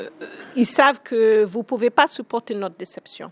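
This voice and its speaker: A woman's voice in an American accent, its intonation fairly even. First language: English (speaking French). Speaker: school founder. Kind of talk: interview. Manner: hesitant, many fillers.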